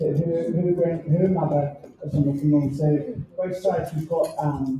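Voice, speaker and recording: This woman's voice is very deep and low, with a dark, mellow tone. It sounds somewhat breathy, and her intonation stays fairly even. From New Zealand, Samoan community. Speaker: fitness program founder. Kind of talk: introduction speech.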